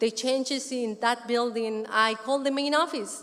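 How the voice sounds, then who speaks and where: Speaking with a Spanish accent, a woman talks at a moderate pace in a high pitch, her intonation fairly even. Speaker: community resident speaker. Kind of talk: conference speech.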